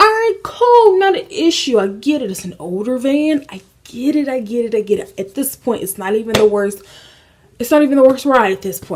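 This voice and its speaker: With an American accent, a woman uses an ordinary speaking voice, lively intonation and a moderate pace. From Indiana, USA. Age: 20s. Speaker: lifestyle YouTuber. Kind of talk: casual story time to camera. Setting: apartment, AC noise in background.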